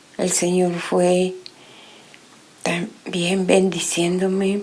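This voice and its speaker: A woman talks at a very slow pace in a monotone, flat intonation, with audible room echo and noticeable background noise. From Guatemala, Guatemala City. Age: 60s. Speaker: testimony giver. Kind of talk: religious testimony.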